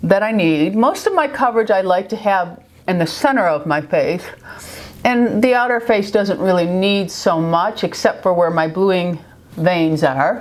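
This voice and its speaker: A lively American accent at a fairly slow pace, very even in loudness, over noticeable background noise. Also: woman, medium pitch for a woman. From New York. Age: 50s. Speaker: beauty vlogger. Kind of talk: makeup tutorial talk to camera. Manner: chatty, friendly.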